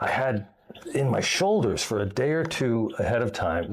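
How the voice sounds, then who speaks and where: A man with an American accent and medium pitch, very wide pitch swings, a moderate pace and noticeable background noise. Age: 60s. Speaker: expat video blogger. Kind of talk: casual chat. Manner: halting, many fillers.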